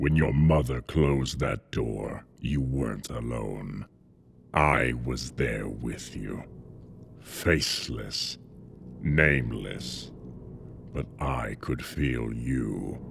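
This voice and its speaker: Raspy and very deep, the man's voice moves at a very slow pace with long, frequent pauses. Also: ordinary pitch variation. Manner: cold, measured, contemptuous.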